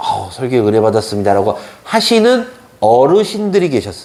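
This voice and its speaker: A man speaks at a moderate pace with very wide pitch swings, and audible echo fills the room. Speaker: pastor. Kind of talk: sermon.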